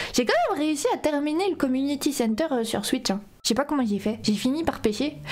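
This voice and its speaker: With noticeable background noise behind her, a woman talks at a fairly quick pace in a high pitch with lively intonation. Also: very even loudness. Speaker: vtuber, gaming streamer. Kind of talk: casual livestream commentary. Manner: animated.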